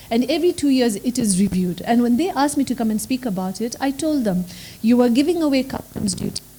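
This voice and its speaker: A woman's fairly high voice with lively intonation at a fairly quick pace, over noticeable background noise. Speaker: law professor. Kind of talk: panel discussion. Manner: soft-spoken.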